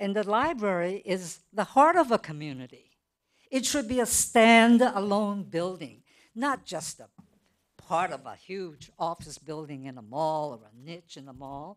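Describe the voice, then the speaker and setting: In a very clean recording with a silent background, a woman talks at a fairly slow pace. Her pitch swings very widely, and her loudness swings a lot too. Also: medium pitch for a woman. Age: 80s+. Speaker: public commenter, retired schoolteacher. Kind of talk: public comment at city council meeting. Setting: council chambers.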